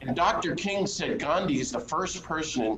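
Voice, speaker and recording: Delivered at a moderate pace, the speech carries audible room echo along with noticeable background noise. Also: man. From US South, North Carolina. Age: 60s. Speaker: priest and peace activist. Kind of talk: interview conversation.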